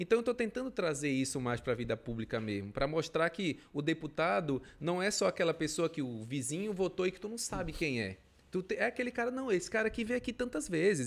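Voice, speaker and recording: On a very clean recording with a silent background, a man talks at a very fast pace. His fairly high voice swings very widely in pitch. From western Pará, Brazil (Rurópolis, Uruará, Altamira). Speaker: state politician. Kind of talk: casual interview.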